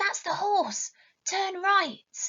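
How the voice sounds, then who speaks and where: This is a put-on character voice. It sounds squeaky at an extremely high pitch. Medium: read story.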